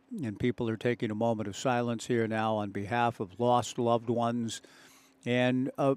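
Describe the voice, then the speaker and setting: In a Pacific Northwest accent, a man talks at a moderate pace and medium pitch with fairly even intonation, the sound dry and close with no echo. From Oregon, US Pacific Northwest. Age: 60s. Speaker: baseball play-by-play broadcaster. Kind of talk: live sports commentary. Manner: reflective, emotional.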